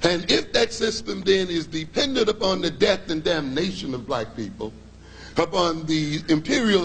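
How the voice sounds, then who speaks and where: A man with an American accent and a high pitch talks at a moderate pace with very wide pitch swings, and audible room echo surrounds him. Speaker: psychologist and lecturer. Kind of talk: lecture.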